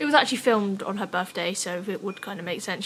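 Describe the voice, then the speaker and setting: Noticeable background noise sits behind a woman with an English accent. She speaks very fast at a medium pitch. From England. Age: young. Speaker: scooter rider and vlogger. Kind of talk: casual vlog talk. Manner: casual, filler-heavy.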